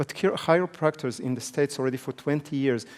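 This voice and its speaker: A man with a non-native accent, medium pitch, ordinary pitch variation and a fairly quick pace. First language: not English. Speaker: business trainer. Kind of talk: seminar lecture. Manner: fast.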